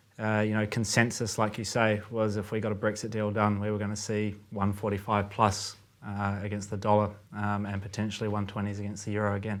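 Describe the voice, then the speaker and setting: Fairly low-pitched male voice with a New Zealand accent, flat monotone intonation, a fairly quick pace and audible room echo. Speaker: currency trader. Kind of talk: casual chat. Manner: halting, many fillers.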